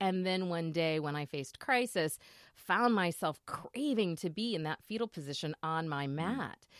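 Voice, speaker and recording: A woman with an unremarkable speaking voice and a fairly low pitch, at a moderate pace, in a dry, close sound with no echo. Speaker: radio host. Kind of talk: radio interview. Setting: video call.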